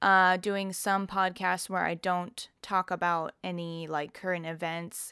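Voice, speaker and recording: A woman's medium-pitched, bright and sharp voice, flat and monotone, at a fairly slow pace with hardly any pauses, on a very clean recording with a silent background. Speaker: vegan podcaster and YouTuber. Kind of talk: solo casual monologue. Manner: slow, relaxed; filler-heavy, many ums and likes.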